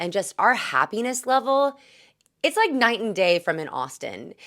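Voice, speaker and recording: A woman speaks in an American accent at a moderate pace. Her pitch swings very widely. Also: very clean recording, silent background. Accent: Southern US, coming back. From US South, Greenville, South Carolina. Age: 30s. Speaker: vlogger. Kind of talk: casual vlog talk.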